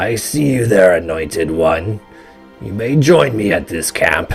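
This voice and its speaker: A put-on character voice from a man, gravelly and fairly low-pitched, at a fairly slow pace with clear music in the background. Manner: creeping, eerie.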